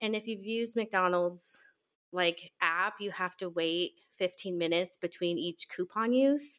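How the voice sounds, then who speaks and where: A woman at a fairly slow pace, dry and close with no echo, on a very clean recording with a silent background. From Nebraska. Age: 20s. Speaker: podcast co-host, stay-at-home mom. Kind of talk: casual chat.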